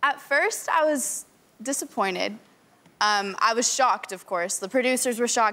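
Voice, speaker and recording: Bright and sharp in tone, a woman talks at a fairly quick pace with lively intonation. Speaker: dating show participant. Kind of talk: talk show interview. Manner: animated. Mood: animated, amused storytelling. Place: studio.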